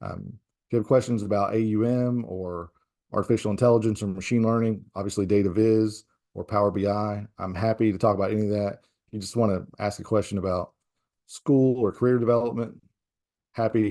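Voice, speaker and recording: In a strong Southern US accent, a man talks at a fairly quick pace with a fairly low pitch. His tone is dark and mellow, and the background is quiet. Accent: thick Southern US. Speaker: professor. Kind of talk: casual chat; tutorial.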